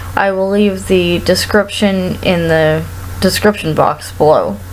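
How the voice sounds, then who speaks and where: A woman talks at a fairly slow pace. Noticeable background noise runs underneath her voice. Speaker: performer. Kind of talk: casual talk to camera.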